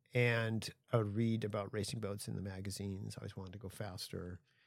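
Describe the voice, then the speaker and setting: A man with an American accent, fairly low-pitched and fairly quick, in monotone, flat intonation, on a very clean recording with a silent background. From US West Coast. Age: 60s. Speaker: solo ocean racing sailor and marine energy systems designer. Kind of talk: casual interview chat. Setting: studio aboard a boat.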